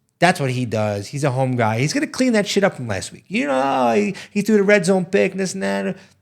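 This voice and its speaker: On a very clean recording with a silent background, a man with a New York accent talks at a fairly quick pace with hardly any pauses, his fairly high pitch making very wide swings. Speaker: sports betting podcast co-host. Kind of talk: casual chat. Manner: animated.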